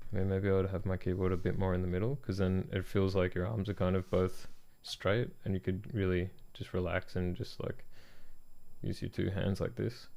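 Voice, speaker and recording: Fairly even in intonation, a man with an Australian accent speaks in a very deep, low voice with a dark, mellow tone. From Australia (country Victoria, near Melbourne). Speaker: product designer streaming design work. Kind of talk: live stream, casual chat while working.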